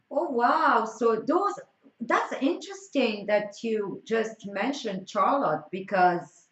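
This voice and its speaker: A woman with a French accent speaks at a very slow pace, her pitch swinging very widely. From France. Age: 20s. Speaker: streamer. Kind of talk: casual chat. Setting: live stream.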